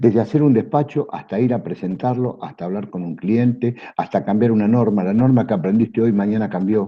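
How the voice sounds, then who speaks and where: Speaking at a fairly quick pace, a man with a fairly low pitch uses lively intonation, and vocal fry comes through. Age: 60s. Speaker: customs broker. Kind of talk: panel talk to students. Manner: hesitant fillers.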